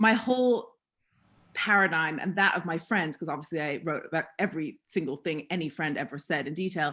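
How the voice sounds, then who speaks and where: An American accent from a woman, her pitch varying in an ordinary way. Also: very clean recording, silent background. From US Northeast, Massachusetts (north shore). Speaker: columnist and historian. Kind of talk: casual chat.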